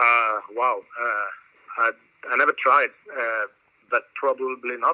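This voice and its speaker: A man talks with a Swedish accent. His pace is very slow. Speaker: metal drummer. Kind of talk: interview. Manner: halting.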